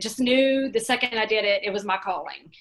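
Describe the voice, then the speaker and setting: This woman has a Louisiana accent. She speaks at a moderate pace with ordinary pitch variation. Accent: noticeable Louisiana. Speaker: real estate office owner. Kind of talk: casual interview.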